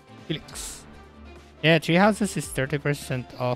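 Music plays in the background as the speech moves at a fairly slow pace, with a dry sound and no echo. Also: man. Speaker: gamer streamer. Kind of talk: casual gameplay commentary. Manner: hesitant, some stutters and pauses. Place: home room.

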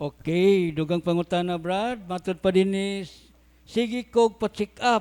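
Speaking at a fairly slow pace, a man has a high pitch and fairly even intonation. The sound is dry and close with no echo, on a very clean recording with a silent background. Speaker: forum moderator reading questions. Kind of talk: reading aloud.

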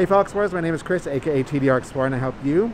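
Speech comes at a very fast pace with ordinary pitch variation and noticeable background noise. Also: man. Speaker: travel vlogger. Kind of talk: casual vlog chat.

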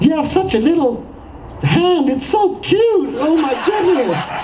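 This is a put-on character voice. It goes at a fairly slow pace with clear background noise. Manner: mocking cutesy.

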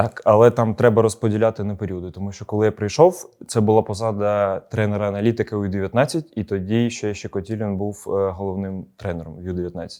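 In a quiet background, a man speaks at a moderate pace with hardly any pauses, his pitch fairly low and his tone dark and mellow. His intonation stays fairly even while his loudness swings widely. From Ukraine, Odesa. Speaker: football coach. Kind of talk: interview.

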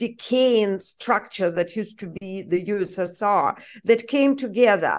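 A woman with a Russian accent, very slow, with lively intonation and a quiet background. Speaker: journalist. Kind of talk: interview.

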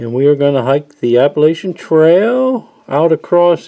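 The background is silent apart from a man. He talks at a fairly slow pace. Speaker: hiking vlogger. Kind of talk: casual vlog chat. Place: forest. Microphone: phone near.

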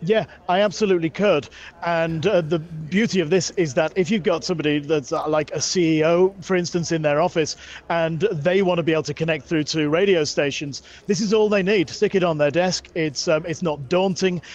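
A man talks at a fairly quick pace. His intonation is fairly even and the sound is dry with no echo. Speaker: tech product demonstrator. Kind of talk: product demo. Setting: trade show floor. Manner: shouting into mic. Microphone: various devices, phone and codec lines; low level on codec line.

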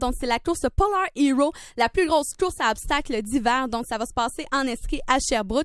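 A woman speaks at a high pitch and a fairly quick pace, with lively intonation. The sound is dry with no echo over a quiet background. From Quebec. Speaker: student radio host. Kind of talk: simulated drive-time radio show. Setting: studio. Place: studio.

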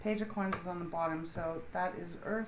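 This woman has a fairly low voice. There is light background noise behind her. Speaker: tarot reader. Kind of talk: tarot reading commentary. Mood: calm, slightly cautious. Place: home room.

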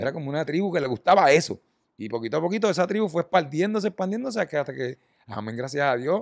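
Talking at a very fast pace in a Puerto Rican accent, a man with a fairly high pitch makes very wide pitch swings, the recording very clean with a silent background and a dry, close sound with no echo. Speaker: rock band musician. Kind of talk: casual chat.

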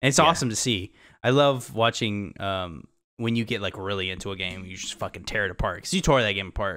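A man with a fairly low pitch speaks at a very fast pace, his intonation lively. His tone is bright and sharp against a quiet background. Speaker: gaming podcast co-host. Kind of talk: casual chat. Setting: video call. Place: home room. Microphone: studio mic.

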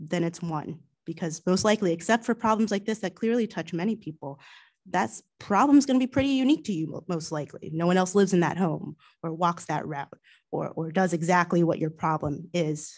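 Against a quiet background, a soft-spoken woman with a fairly low pitch talks at a moderate pace with lively intonation. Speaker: township commissioner. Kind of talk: public meeting remarks. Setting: township meeting room, livestreamed. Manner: hesitant, many fillers. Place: meeting room. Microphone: podium.

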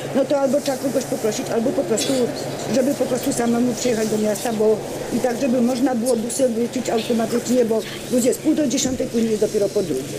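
A woman at a very fast pace, over noticeable background noise. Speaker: resident. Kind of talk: public debate. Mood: earnest, complaining. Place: street.

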